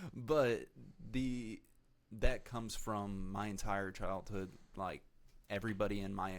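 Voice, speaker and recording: A man talks very slowly in a fairly low voice. He speaks with a Texan accent. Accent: Texan American. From Texas, Dallas suburbs. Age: 20s. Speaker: entrepreneur and investor. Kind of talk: interview. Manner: monotone; quiet, direct.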